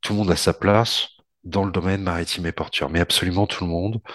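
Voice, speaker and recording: A man talks at a very fast pace with a very deep, low pitch and fairly even intonation. The sound is dry and close with no echo over a quiet background. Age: 40s. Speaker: port industry association head. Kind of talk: casual podcast interview. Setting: remote call from home. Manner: halting, repeats words.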